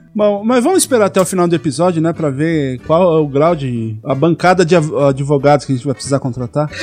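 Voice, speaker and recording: Fairly quick, lively speech with hardly any pauses over music in the background. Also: man, fairly high pitch for a man. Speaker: podcast host. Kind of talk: casual chat. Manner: halting.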